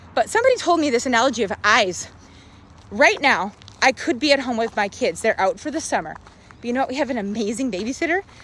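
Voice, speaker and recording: A loud, high-pitched woman at a very fast pace with very wide pitch swings. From rural Canada. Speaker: social media vlogger. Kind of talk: live stream monologue. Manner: animated.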